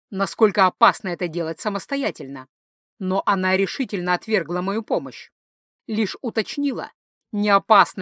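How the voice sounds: Quiet surroundings behind a natural reading voice.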